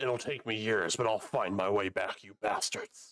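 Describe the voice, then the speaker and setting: A man puts on a growling character voice at medium pitch. He talks at a moderate pace. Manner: angry and vengeful.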